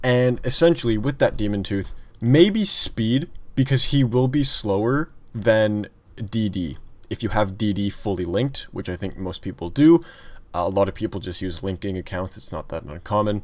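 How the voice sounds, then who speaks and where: In an unremarkable speaking voice, a man talks at a moderate pace and fairly low pitch with lively intonation. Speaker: gaming youtuber. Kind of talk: casual gaming commentary.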